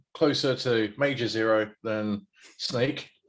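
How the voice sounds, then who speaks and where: A man with a British accent speaks at a medium pitch with fairly even intonation. The recording is very clean, with a silent background. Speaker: Twitch variety streamer. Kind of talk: casual chat.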